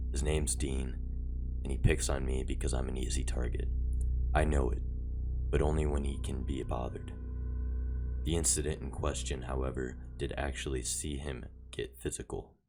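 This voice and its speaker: Over noticeable background noise, the speaker talks at a moderate pace in a flat monotone, with long, frequent pauses. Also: man, very deep, low pitch for a man. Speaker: story narrator. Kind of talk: horror story narration.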